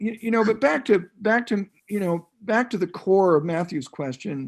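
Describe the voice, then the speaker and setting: The delivery has lively intonation and moves at a moderate pace. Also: man, high pitch for a man. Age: 70s. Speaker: health care futurist. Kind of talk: panel discussion.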